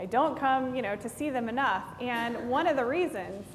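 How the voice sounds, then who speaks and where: A woman with a slight Tennessee accent speaks at a moderate pace, her fairly high pitch carrying lively intonation. Audible room echo and noticeable background noise surround her voice. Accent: slight Southern (Tennessee). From East Tennessee, Knoxville area. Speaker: pastor. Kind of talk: sermon. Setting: church. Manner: conversational, many fillers.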